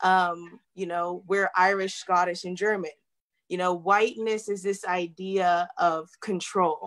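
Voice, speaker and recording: A woman speaks at a fairly slow pace in a monotone, flat intonation against a quiet background. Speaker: chiropractic student; guest. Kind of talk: panel discussion. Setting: video call. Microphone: video call.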